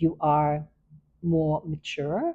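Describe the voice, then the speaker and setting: A woman speaks at a very slow pace with a very deep, low pitch. Her tone is dark and mellow, and somewhat breathy. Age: 60s. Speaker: video podcast host. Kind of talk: reflective monologue. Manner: halting, many fillers.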